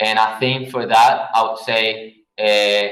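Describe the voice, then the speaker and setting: In a Spanish accent, a man speaks very slowly at a medium pitch with monotone, flat intonation and audible room echo. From Venezuela. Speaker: graphic designer. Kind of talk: Q&A talk. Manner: hesitant, many fillers.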